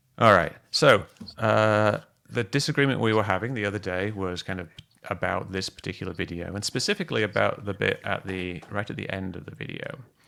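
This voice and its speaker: In a British accent, a man talks at a fairly quick pace with fairly low pitch, ordinary variation, vocal fry, a bright, sharp tone and big swings in loudness. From Britain. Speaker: UFO video analyst, livestream host. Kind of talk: casual discussion livestream. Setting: video call livestream.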